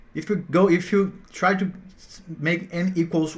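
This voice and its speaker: A man with a Portuguese accent talks at a fairly slow pace. His voice sits high in pitch. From Brazil. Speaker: math teacher. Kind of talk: tutorial. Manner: halting, with repetitions.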